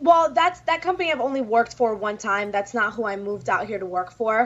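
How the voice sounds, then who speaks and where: A woman's fairly high voice at a fairly quick pace, full of very wide pitch swings. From New York City, Dominican family. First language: Spanish. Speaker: pro wrestler. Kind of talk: interview.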